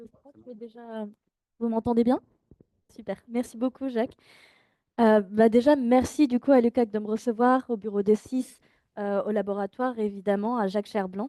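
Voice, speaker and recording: A woman with a fairly high pitch and a dark, mellow tone speaks at a moderate pace with fairly even intonation. Her loudness swings a lot, long pauses come often, and the sound is dry and close with no echo. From France. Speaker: PhD researcher. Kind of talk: academic lecture.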